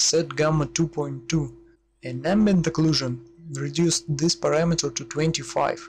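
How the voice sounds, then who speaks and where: Speaking at a moderate pace, a man talks with a non-native accent. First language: not English. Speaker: 3D and VFX tutorial maker. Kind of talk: software tutorial.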